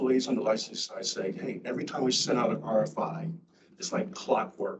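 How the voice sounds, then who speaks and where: A man at a medium pitch speaks with very wide pitch swings. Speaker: chief prosecutor at a regulatory agency. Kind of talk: staff discussion in a public agency meeting. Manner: usually loud.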